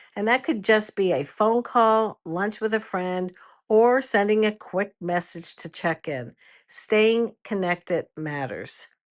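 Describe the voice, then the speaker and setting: On a very clean recording with a silent background, a normal speaking voice talks at a fairly slow pace with lively intonation. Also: woman. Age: 60s. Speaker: retired grandmother, lifestyle podcaster. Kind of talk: cozy podcast chat to listeners. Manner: warm, gentle.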